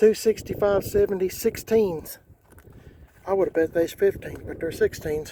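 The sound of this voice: This man's tone is dark and mellow, with high pitch for a man. He keeps a moderate pace and ordinary pitch variation.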